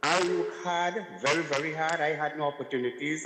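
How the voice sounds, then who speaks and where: Noticeable background noise surrounds a man with a fairly high pitch talking at a moderate pace. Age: 60s. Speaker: caller, retiree. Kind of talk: call-in comment.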